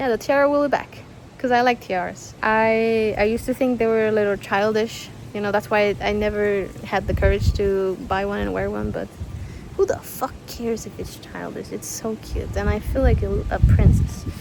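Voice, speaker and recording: This woman speaks with a Spanish accent at a moderate pace. There is noticeable background noise. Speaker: YouTuber and artist. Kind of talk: casual vlog Q&A. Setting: outdoors. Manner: chatty, animated.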